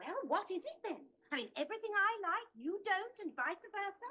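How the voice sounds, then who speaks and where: A woman's put-on character voice, squeaky and extremely high, with very wide pitch swings, at a moderate pace. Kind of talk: British sitcom comedy. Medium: short film. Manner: dry, sarcastic.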